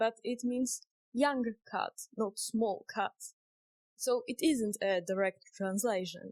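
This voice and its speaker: With a Polish accent, a woman speaks at a very slow pace with long, frequent pauses. Her voice is fairly high with ordinary pitch variation, and the sound is dry and close with no echo. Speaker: indie game developer. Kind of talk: vlog narration.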